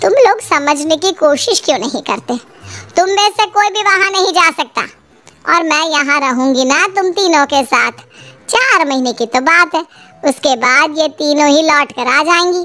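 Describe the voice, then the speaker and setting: Faint music sits in the background as a woman does a squeaky, high-pitched cartoonish character voice at a moderate pace. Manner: motherly, persuasive.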